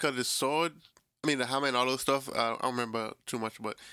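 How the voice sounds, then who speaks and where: At a very fast pace, a man talks with fairly even intonation and a medium pitch, captured in a very clean recording with a silent background. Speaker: podcast host. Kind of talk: casual banter. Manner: joking, casual slang.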